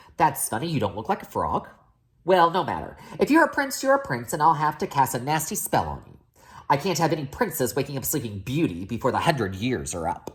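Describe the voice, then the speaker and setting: A man puts on a croaky character voice, fairly high in pitch and at a fairly quick pace. The recording is very clean with a silent background. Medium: read story.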